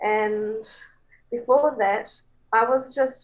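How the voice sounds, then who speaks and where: Ordinary pitch variation in a New Zealand accent. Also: woman. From New Zealand, Coromandel Peninsula. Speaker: songwriter. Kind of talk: interview. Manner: animated.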